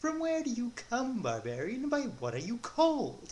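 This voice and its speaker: A put-on character voice with a fairly high pitch moves at a moderate pace over clear background noise. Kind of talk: mock-archaic speech. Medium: read story. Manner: flirtatious, breathy.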